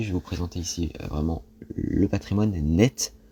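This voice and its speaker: A man's somewhat breathy voice, dark and mellow in tone, with lively intonation. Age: 20s. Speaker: personal finance youtuber. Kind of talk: casual explainer monologue. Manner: hesitant, many fillers.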